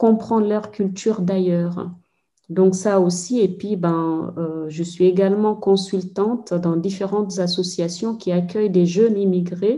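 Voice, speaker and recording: With a Senegalese accent, a woman talks at a fairly slow pace in a dark, mellow tone with ordinary pitch variation. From Guinea, Fouta Djallon (Mamou). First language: Pulaar (speaking French). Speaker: anthropologist. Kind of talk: interview. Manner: hesitant, many fillers.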